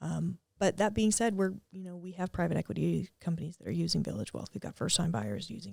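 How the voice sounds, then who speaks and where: A woman with an East Coast Canadian accent, fairly low in pitch, at a moderate pace. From Atlantic Canada. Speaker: tech startup co-founder. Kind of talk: podcast interview. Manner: casual, with frequent fillers.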